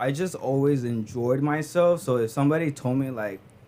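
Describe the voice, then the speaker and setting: Speaking at a moderate pace with an American accent, a man has a medium pitch and ordinary pitch variation. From Stockton, California. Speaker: podcast guest, college student. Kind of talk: casual chat. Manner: halting, many fillers.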